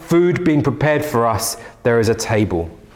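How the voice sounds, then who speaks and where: Amid noticeable background noise and audible room echo, a man talks at a moderate pace with a fairly high pitch and lively intonation. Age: 30s. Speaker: pastor. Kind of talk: sermon. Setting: church.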